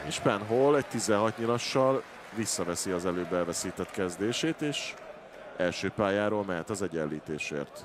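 A man speaks slowly-ish, at a fairly low pitch with lively intonation. Noticeable background noise runs behind him. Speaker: darts pundit. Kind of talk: live commentary.

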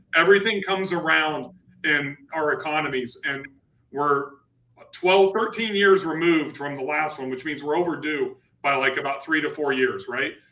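A man with a fairly high voice speaks at a moderate pace, with audible room echo. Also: ordinary pitch variation. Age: 40s. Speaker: real estate investor and channel host; livestream host. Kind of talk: live-streamed panel discussion. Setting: live stream with online audience. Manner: animated. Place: office. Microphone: webcam.

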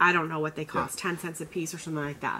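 A woman speaks in a bright, sharp tone. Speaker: online clothing reseller. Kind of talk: casual tutorial chat. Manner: fast talker. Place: home room. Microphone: camera far.

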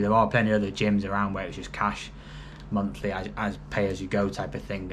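Over light background noise, an unremarkable speaking voice moves at a fairly quick pace. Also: man. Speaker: fitness vlogger. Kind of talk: casual vlog chat. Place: home room. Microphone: phone near.

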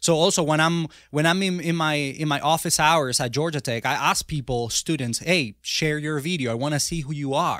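In a Spanish accent, a man with fairly high pitch speaks at a moderate pace with hardly any pauses on a very clean recording with a silent background. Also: ordinary pitch variation. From Venezuela. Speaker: software engineer and author. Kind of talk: interview. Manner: halting.

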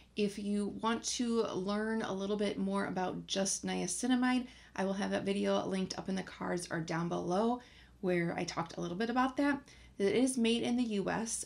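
A woman speaks at a moderate pace. Her pitch varies in an ordinary way. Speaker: beauty vlogger. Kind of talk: casual vlog chat. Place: home room.

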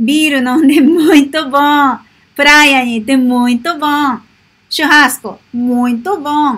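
A woman talks in a high pitch at a moderate pace, with ordinary pitch variation. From Japan. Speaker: Portuguese language teacher and vlogger; Portuguese language teacher, vlogger. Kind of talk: vlog monologue. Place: home room. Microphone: webcam.

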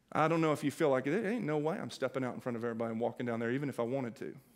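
Over a quiet background, a man talks at a very fast pace with lively intonation. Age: 40s. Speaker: pastor. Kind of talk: sermon. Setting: church. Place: church. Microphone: headset.

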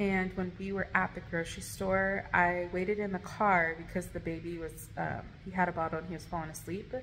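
Light background noise sits under a normal speaking voice at a moderate pace. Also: woman. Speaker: vlogger. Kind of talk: casual vlog storytime. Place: home room. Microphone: phone near.

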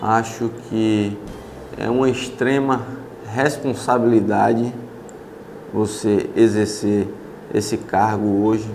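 With light background noise behind him, a man speaks very slowly in a monotone, flat voice, leaving long, frequent pauses. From Brazil, Ilhéus, Bahia; Bahia, Brazil. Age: 30s. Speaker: city councillor. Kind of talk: interview. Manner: halting. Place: office. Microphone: lapel.

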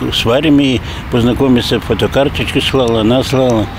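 Over noticeable background noise, a man speaks at a fairly slow pace with fairly even intonation in a dry sound with no echo. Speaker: local resident. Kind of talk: interview answer. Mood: emotional, near tears. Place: street. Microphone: handheld.

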